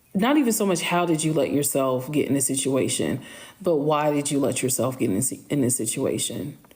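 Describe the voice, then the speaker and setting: Audible room echo surrounds a woman whose pitch swings very widely. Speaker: social media storyteller. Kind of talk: live stream Q&A. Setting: live stream. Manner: slow.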